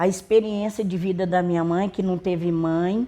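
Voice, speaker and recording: A woman is speaking at a fairly slow pace. Her tone is dark and mellow. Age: 70s. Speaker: elderly community centre member. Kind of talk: documentary interview testimony.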